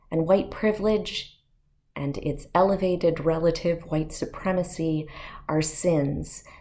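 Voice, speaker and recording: Her voice has a dark, mellow tone, as this woman talks at a fairly slow pace with a fairly low pitch. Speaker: parish rector, priest. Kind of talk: sermon-style address to congregation.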